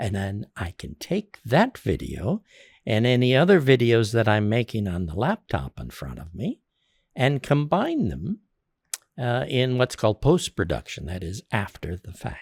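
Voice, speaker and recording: A man with a medium-pitched voice and vocal fry speaks at a fairly slow pace, his pitch swinging very widely and his loudness rising and falling a lot, on a very clean recording with a silent background and a dry, close sound with no echo. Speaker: podcast host. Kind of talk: tutorial. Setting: tv studio. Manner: varied pacing with pauses.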